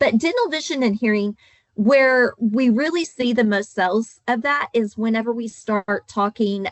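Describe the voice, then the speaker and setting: A woman's fairly high voice in an Oklahoma accent, with ordinary pitch variation at a moderate pace. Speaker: insurance agent trainer. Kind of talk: training webinar.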